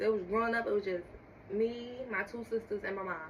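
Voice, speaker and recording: A woman's fairly high voice at a moderate pace, fairly even in intonation, over noticeable background noise. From US Northeast, North Philadelphia. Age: 20s. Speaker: small business owner. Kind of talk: casual podcast interview.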